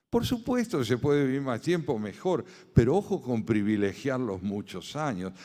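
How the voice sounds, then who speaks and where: Speaking in an Argentine accent, a man has a medium pitch and a dark, mellow tone. His pace is moderate, and his pitch swings very widely. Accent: Argentine Spanish (Rioplatense). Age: 70s. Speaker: philosopher and essayist. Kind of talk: lecture. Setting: conference with audience.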